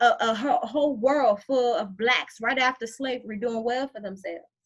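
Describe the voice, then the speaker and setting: A woman talks with a high pitch and an animated tone. Her pace is moderate. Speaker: motivational live streamer. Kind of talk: live stream talk.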